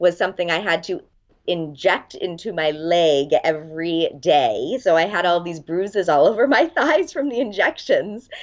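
A woman's medium-pitched voice with an American accent, at a moderate pace over a quiet background. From Los Angeles, US. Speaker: dating coach and author. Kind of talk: interview.

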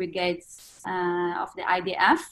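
With an Israeli accent, a woman speaks at a very slow pace. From northern Israel. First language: Hebrew. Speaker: fashion designer. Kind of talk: interview.

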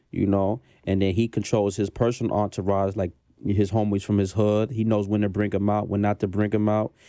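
A man with an American accent, fairly low in pitch with a dark, mellow tone, monotone, flat intonation, very even loudness and a fairly quick pace, in a very clean recording with a silent background. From Brooklyn, New York. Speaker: music manager. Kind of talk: interview. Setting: studio.

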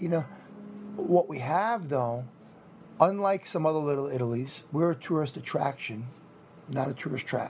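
A man speaks in a New York accent at a fairly high pitch. His pace is fairly quick, with ordinary pitch variation. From Rockland County, New York. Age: 50s. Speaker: deli owner. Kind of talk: on-location interview. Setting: indoor marketplace.

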